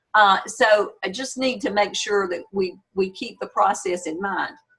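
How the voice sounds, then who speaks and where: A woman talks in a normal speaking voice at medium pitch. Her pace is fairly slow. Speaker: university instructor. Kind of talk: online class lecture. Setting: video call.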